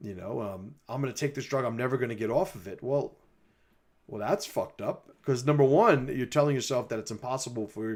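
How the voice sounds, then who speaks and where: In a very clean recording with a silent background, a man with a Bronx accent talks at a fairly quick pace and medium pitch, his loudness swinging widely. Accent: Bronx accent, persistent. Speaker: mindset coach and commentator. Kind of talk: livestream monologue responding to critics. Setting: livestream. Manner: casual, many fillers.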